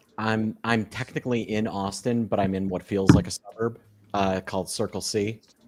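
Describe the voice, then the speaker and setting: A man with a Chicago accent speaks in a fairly low pitch with fairly even intonation. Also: moderate pace. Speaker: trader. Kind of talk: casual chat. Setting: live stream.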